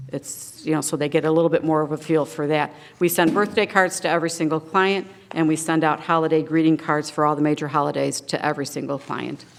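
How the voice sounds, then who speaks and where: A woman speaks very fast with a very deep, low pitch. Her intonation stays fairly even. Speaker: senior services nonprofit director. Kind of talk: public meeting presentation. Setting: township board meeting.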